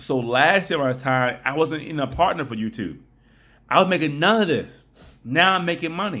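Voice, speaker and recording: A man speaks loudly in a fairly high voice with a bright, sharp tone. His pitch varies in an ordinary way. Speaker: YouTuber and blogger. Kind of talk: casual vlog talk. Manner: fast.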